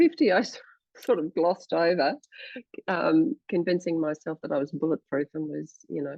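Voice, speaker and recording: Lively intonation marks this woman's speech in an Australian accent. Her pitch sits fairly low. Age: 60s. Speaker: journalist and presenter. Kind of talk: casual chat.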